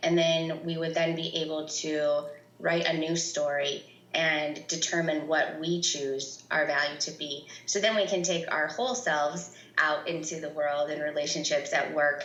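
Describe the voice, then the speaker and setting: A woman's very deep, low voice with fairly even intonation, amid audible room echo and noticeable background noise. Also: moderate pace. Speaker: workshop leader and consultant. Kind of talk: podcast interview.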